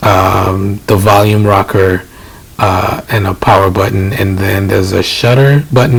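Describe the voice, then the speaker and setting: A soft-spoken man with a fairly low pitch talks with fairly even intonation over noticeable background noise. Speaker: DJ and tech reviewer. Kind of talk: casual tech impressions to camera. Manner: hesitant, many filler words.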